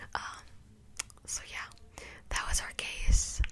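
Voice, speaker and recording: Whispering over noticeable background noise. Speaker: ASMR true crime youtuber. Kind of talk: whispered ASMR true crime storytelling. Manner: casual with fillers.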